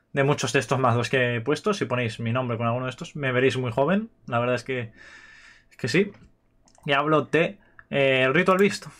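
With an Aragonese accent, a man talks at a moderate pace with ordinary pitch variation and long, frequent pauses. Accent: Spanish from Spain (Aragon). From Spain. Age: 20s. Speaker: gaming youtuber. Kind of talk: casual chat. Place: home room. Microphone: webcam.

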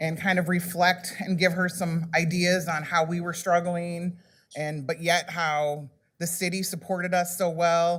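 A woman's fairly low voice at a moderate pace, in a very clean recording with a silent background. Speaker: small business owner and council applicant. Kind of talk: public presentation. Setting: council chamber with microphones.

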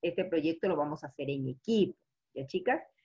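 A woman's voice over a quiet background. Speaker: teacher. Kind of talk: online class lecture. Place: home room. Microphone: webcam.

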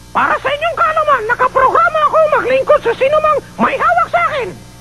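With music in the background, a man uses a cartoonish character voice at an extremely high pitch and a very fast pace. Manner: boastful, excitable.

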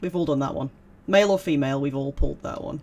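This is a man speaking with a British accent. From UK. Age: 30s. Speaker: gaming YouTuber. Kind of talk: let's play commentary. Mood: playful, relaxed. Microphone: headset.

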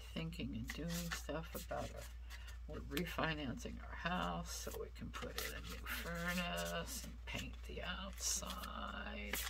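A woman speaks very slowly through loud noise in the background. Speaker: tarot reader. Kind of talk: casual vlog chat. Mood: distracted, reflective. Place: home room.

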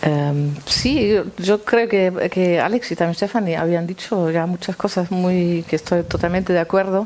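A woman at a fairly slow pace with hardly any pauses, very even loudness and ordinary pitch variation. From East Berlin, Germany. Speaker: guitarist; guest. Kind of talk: panel discussion and guitar performance. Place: stage.

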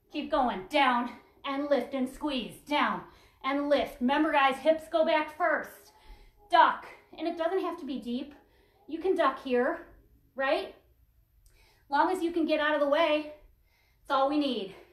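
A woman's high-pitched voice at a fairly slow pace, with ordinary pitch variation, long, frequent pauses and audible room echo. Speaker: fitness instructor. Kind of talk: workout class instruction. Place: home room. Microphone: camera far.

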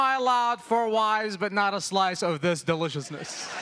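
A man's raised, projected voice, with ordinary pitch variation, carries over crowd noise in the background. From Yemen. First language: Arabic. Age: 30s. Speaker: stand-up comedian. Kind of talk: late-night TV stand-up set, punchline-driven immigrant storytelling. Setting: theater stage with live audience. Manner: brisk, conversational joke pacing with quick tags. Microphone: handheld.

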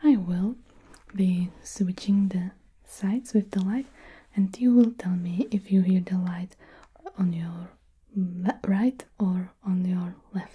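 Very slow and marked by long, frequent pauses, a woman's speech has fairly even intonation. Her tone is dark and mellow, and somewhat breathy. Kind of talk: soft roleplay talk to the viewer. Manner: soft-spoken, hushed test instructions.

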